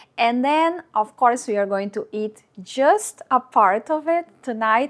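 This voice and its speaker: Lively intonation in a Portuguese accent at a fairly slow pace, on a very clean recording with a silent background. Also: woman. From Brazil. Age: 40s. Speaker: lifestyle vlogger. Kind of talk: vlog narration.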